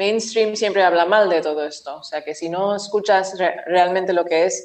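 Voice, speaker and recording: A woman's unremarkable speaking voice at a medium pitch, fairly slow, with ordinary pitch variation. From Oman, of Indian family. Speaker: finance professional. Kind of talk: casual interview.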